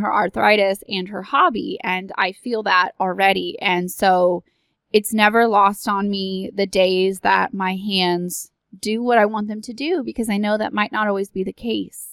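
Speaking at a fairly slow pace in an ordinary speaking voice, a woman with an American accent keeps a medium pitch and fairly even intonation in a dry, close sound with no echo. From Texas. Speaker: podcast host. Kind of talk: solo monologue.

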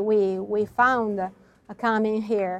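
A woman speaks with an Italian accent at a very slow pace. The background is quiet. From Italy, Verona (Veneto). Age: young. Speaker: wine producer. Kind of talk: interview. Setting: on location at winery. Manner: halting.

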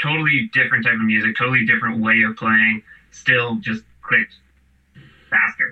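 At a moderate pace, a man speaks in an ordinary speaking voice, medium in pitch, with fairly even intonation. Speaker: musician. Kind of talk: casual chat. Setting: video call.

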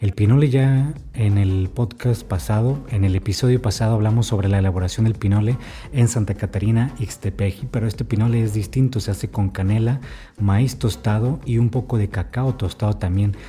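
Somewhat breathy and dark, mellow in tone, a man speaks at a moderate pace in a fairly low pitch, with ordinary pitch variation and very even loudness. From Baja California, northern Mexico. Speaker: podcast host and food book author. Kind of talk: podcast narration and interviewing.

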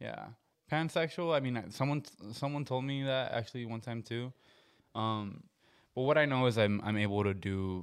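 A man's medium-pitched voice at a moderate pace, with ordinary pitch variation and a very clean recording over a silent background. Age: 20s. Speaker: musician. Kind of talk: casual chat.

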